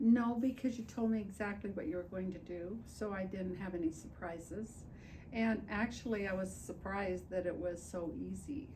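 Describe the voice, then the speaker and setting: There is audible room echo as a woman speaks at a moderate pace, with a medium pitch and ordinary pitch variation. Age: 80s+. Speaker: patient. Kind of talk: testimony.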